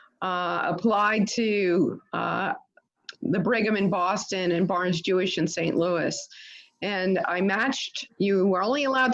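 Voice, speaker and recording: Using ordinary pitch variation, a woman speaks at a medium pitch and a fairly slow pace. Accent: New York. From New York City, Staten Island. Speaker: infectious disease physician, professor. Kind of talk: talk to a club audience.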